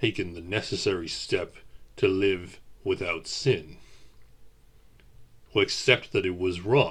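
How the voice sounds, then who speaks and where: Raspy and fairly low, a man puts on a character voice. He talks at a fairly slow pace. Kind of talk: audio roleplay to the listener. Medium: audio drama. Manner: gentle, measured, hesitant.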